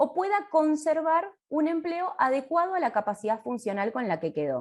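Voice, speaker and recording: A woman speaks with a Rioplatense accent at a moderate pace. Her high-pitched voice moves through very wide pitch swings. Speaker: occupational therapist. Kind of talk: lecture.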